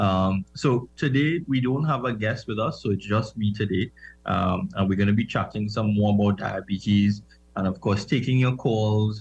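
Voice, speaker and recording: Against a quiet background, a man speaks at a moderate pace with a fairly low pitch. His voice is somewhat breathy, with ordinary pitch variation and very even loudness. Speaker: doctor and diabetes educator. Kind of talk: health advice radio talk. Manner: hesitant, many fillers.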